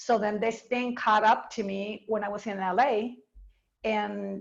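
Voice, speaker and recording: Her voice is an ordinary speaking voice, fairly high in pitch for a woman, with ordinary pitch variation. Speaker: dance teacher. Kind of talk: interview.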